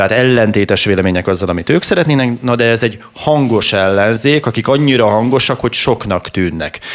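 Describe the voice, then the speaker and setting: Moving at a moderate pace, a man with a fairly low pitch and ordinary pitch variation has an ordinary speaking voice. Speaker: radio host. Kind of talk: radio interview.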